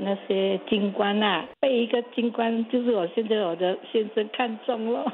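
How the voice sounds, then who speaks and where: Noticeable background noise sits behind the speech. The pace is very slow and the intonation fairly even. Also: woman. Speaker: listener sharing memories. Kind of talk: casual interview.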